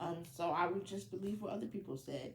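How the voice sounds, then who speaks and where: A woman with an American accent uses a fairly low pitch and vocal fry. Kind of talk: personal testimony. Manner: halting, with many fillers.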